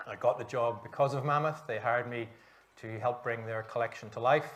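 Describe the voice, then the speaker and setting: Monotone, flat delivery with a Northern Irish accent. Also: man, medium pitch for a man, fairly quick pace. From Northern Ireland, Belfast. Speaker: author. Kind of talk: panel discussion.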